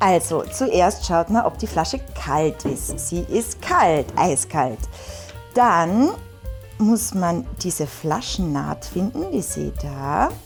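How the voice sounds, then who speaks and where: A woman with a Carinthian accent at a very slow pace, with music in the background. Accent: Carinthian Austrian German dialect. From Carinthia, Austria. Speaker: actress. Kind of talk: casual on-camera tutorial demonstration.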